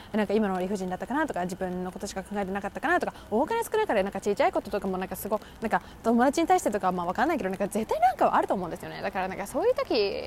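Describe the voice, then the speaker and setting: A woman's medium-pitched, animated voice at a very fast pace, with lively intonation, hardly any pauses and noticeable background noise. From Japan. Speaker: podcast host, university student. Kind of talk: casual monologue.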